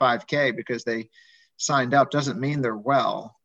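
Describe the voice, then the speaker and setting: A man talks at a fairly quick pace over a quiet background, at a medium pitch with fairly even intonation. He has an ordinary speaking voice. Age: 50s. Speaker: physician and medical professor. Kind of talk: casual interview. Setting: video call.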